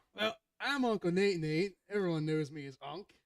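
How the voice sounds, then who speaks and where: A man in an American accent speaks at a moderate pace, with fairly high pitch and ordinary pitch variation. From Northeast Philadelphia, US. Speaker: podcast guest, gamer. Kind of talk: casual chat. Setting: live stream. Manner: animated. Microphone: too quiet at first, gain turned up.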